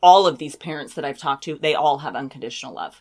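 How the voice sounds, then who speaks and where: A woman with an unremarkable speaking voice talks at a fairly quick pace, her fairly low pitch moving with ordinary variation, on a very clean recording with a silent background. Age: 40s. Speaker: podcast host, author and public speaker. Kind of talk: casual chat.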